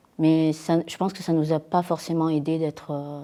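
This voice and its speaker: The woman's voice is very deep and low, with a dark, mellow tone. She speaks at a fairly slow pace on a very clean recording with a silent background. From France, rural Dordogne. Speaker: interviewee. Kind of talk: testimony. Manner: halting, many hesitations.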